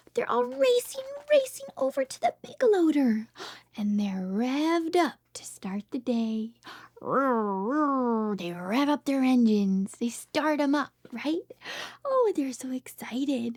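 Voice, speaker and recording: Speaking at a very slow pace, a woman uses a high pitch and lively intonation, with a dry, close sound and no echo. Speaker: speech therapist. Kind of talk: reading aloud. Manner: soft-spoken.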